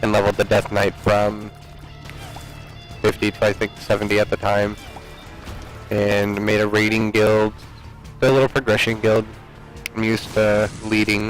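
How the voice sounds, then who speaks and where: Over music in the background, a man talks in a fairly low, monotone voice with flat intonation and long, frequent pauses. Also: moderate pace, very even loudness. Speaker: gaming commentator; military veteran. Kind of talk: casual gameplay commentary. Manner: loud.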